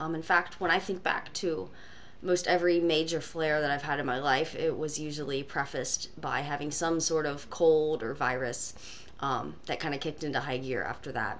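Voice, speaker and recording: This woman has a very deep, low pitch and speaks at a moderate pace. Noticeable background noise runs through the clip. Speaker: video blogger with Crohn's disease and ostomy. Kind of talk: casual talk to camera.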